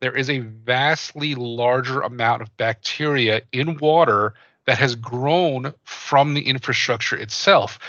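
Speaking with an American accent, a man uses a medium-pitched voice with ordinary pitch variation. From US East Coast, New Jersey. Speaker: podcast host, company copywriter. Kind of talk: casual chat. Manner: halting, many fillers.

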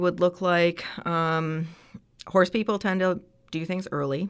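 An ordinary speaking voice with a Canadian accent, at a fairly slow pace. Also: woman. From Canada, Ontario. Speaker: veterinary surgeon and assistant professor. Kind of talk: interview.

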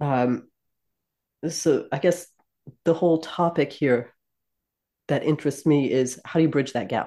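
With a quiet background, a woman with an American accent speaks in a very deep, low pitch at a fairly slow pace, using a dark, mellow tone, ordinary pitch variation and long, frequent pauses. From US, South Jersey. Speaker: product marketing manager. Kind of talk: casual chat.

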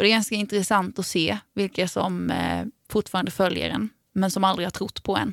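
A woman at medium pitch and a moderate pace, flat and monotone, on a very clean recording with a silent background. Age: 20s. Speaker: podcast co-host and musician. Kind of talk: casual chat.

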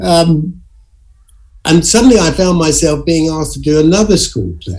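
A fairly high-pitched man with an English accent, dark and mellow in tone, with lively intonation at a fairly slow pace. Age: 70s. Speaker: actor. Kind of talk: interview. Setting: video call.

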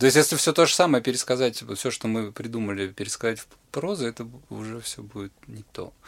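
Speaking at a fairly quick pace in a medium pitch, a man shows ordinary pitch variation and big swings in loudness. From Russia. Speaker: playwright and poet. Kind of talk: casual interview chat. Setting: studio. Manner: hesitant, many fillers.

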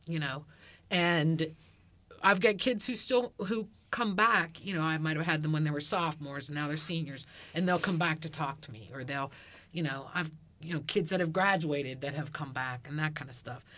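Her pitch very deep and low, a woman talks at a moderate pace in a bright, sharp tone with ordinary pitch variation. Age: 50s. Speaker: teacher. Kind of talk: casual chat.

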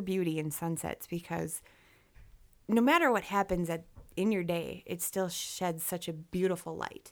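Heard in a very clean recording against a silent background, a woman with a normal speaking voice talks at a moderate pace, her fairly low pitch held in fairly even intonation. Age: 20s. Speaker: cancer survivor. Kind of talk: interview.

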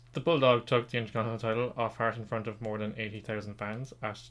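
A man's medium-pitched voice at a very fast pace, in an Irish accent, with fairly even intonation. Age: 20s. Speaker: podcast host, quiz master. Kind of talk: quiz hosting; casual chat.

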